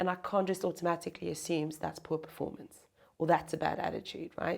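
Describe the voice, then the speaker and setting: A woman with a South African accent talks at a fairly quick pace in a fairly low pitch, her monotone, flat intonation carrying vocal fry. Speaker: chief people officer, HR executive. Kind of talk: interview, conversational.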